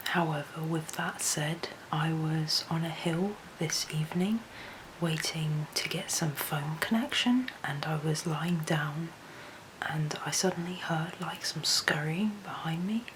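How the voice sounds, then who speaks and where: A quiet woman's voice, fairly low in pitch with ordinary pitch variation, at a fairly slow pace over noticeable background noise. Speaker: wildlife photographer and vlogger. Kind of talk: travel vlog narration. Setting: remote house at night.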